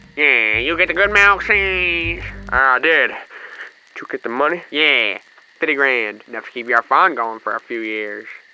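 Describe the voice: A man puts on a character voice at medium pitch, with lively intonation and a tone both clear and smooth, bright and sharp. He goes at a fairly slow pace with long, frequent pauses.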